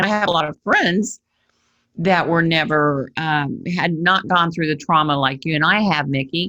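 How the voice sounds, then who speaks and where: Her tone bright and sharp, a woman speaks at a fairly low pitch and a moderate pace with ordinary pitch variation. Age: 60s. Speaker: podcast host and abuse survivor advocate. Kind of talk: podcast interview.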